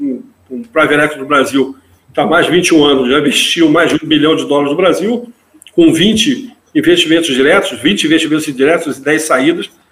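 The intonation here is lively. A man speaks at a fairly quick pace. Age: 50s. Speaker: business executive. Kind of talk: interview.

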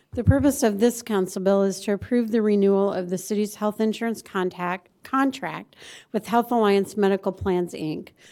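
An American-accented woman speaks at a moderate pace in a dark, mellow tone, on a very clean recording with a silent background. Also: medium pitch for a woman, fairly even intonation. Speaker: mayor chairing council meeting. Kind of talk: formal public meeting procedure. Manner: formal.

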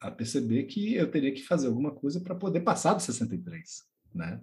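A man's dark, mellow tone carries vocal fry and lively intonation. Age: 40s. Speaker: podcast co-host, teacher. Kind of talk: casual chat.

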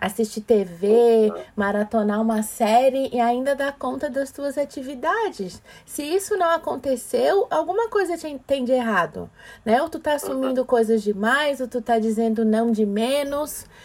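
Her intonation is lively and her pitch high. The woman speaks at a fairly slow pace. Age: 40s. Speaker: diversity and emotional intelligence speaker. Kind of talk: casual chat.

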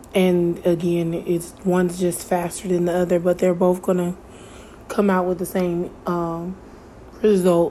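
A woman speaks in a fairly low pitch with monotone, flat intonation. Her loudness stays very even. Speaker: podcast host. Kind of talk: solo monologue.

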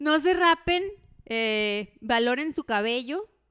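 With a northwestern Mexican accent, a woman speaks with very wide pitch swings in a dry, close sound with no echo, on a very clean recording with a silent background. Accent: northwestern Mexican (Sinaloa) Spanish. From Los Mochis, Sinaloa, Mexico. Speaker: podcast co-host. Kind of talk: casual chat.

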